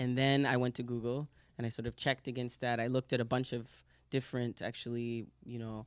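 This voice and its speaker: A man's flat, monotone New York accent at a medium pitch and very fast pace, with a dry, close sound, no echo, and a very clean recording with a silent background. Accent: New York American. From New York City. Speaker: translator and artist. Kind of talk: casual conversation. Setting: room with audience in Brussels. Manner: halting, many fillers and restarts.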